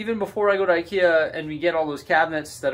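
The speaker, a man, keeps a fairly quick pace. His pitch shifts in an ordinary way. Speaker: LEGO hobby vlogger. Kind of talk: casual vlog chat. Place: home room. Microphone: phone near.

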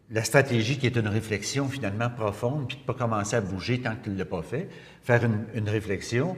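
This man has a Quebec accent and a medium-pitched, somewhat breathy voice. He talks at a moderate pace. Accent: Québécois French. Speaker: interviewer. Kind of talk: casual chat. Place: studio.

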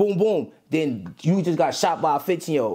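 This is a man speaking. He has a New York accent. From Brooklyn, New York. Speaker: rapper. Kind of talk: casual interview.

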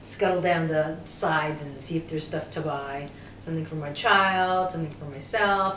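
The intonation stays fairly even. There is light background noise and audible room echo. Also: woman. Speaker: interviewee, actress guest at a convention. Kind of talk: interview answer. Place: home room.

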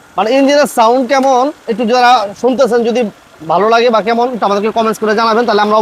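A man talks at an extremely high pitch with ordinary pitch variation. Noticeable background noise is present. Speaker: used car dealer vlogger. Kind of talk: car sales video.

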